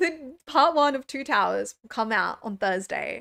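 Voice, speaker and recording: A woman with an Australian accent talks at a fairly slow pace, high in pitch with lively intonation. The recording is very clean, with a silent background. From rural New South Wales, Australia. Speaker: streamer reacting to films. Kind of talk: live stream chat. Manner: stumbles over words; casual, chatty.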